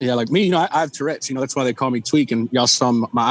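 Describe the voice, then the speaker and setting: A man with a Texan accent and ordinary pitch variation, on a very clean recording with a silent background and a dry, close sound with no echo. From Texas (Lake Jackson, Victoria area). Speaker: country musician. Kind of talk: casual chat. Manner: halting.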